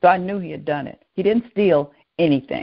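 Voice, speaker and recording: This woman's voice sits fairly low in pitch. She talks at a moderate pace with ordinary pitch variation. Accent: Southern US. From US South, New Orleans, Louisiana. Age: 70s. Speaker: educator and restorative practices trainer. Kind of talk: interview conversation. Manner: animated.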